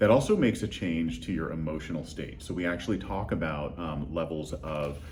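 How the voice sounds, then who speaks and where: A man's very deep, low voice at a fairly quick pace, with hardly any pauses, ordinary pitch variation and audible room echo. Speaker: lighting design expert. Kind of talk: interview. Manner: halting, many fillers.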